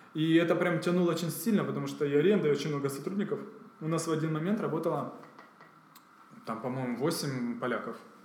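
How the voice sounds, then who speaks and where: Very fast, with long, frequent pauses, a man talks at a fairly high pitch with ordinary pitch variation as room echo is audible. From Ukraine, Kyiv. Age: 30s. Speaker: entrepreneur. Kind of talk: interview.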